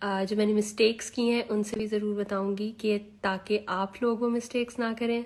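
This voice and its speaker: A soft-spoken woman with a fairly high pitch and monotone, flat intonation, at a moderate pace, in a very clean recording with a silent background. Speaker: lifestyle vlogger. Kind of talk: casual advice vlog. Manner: soft, quiet.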